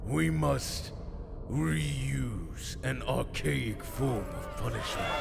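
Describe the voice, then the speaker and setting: A man's put-on character voice at a very slow pace amid loud background noise. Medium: audio drama. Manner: formal, measured.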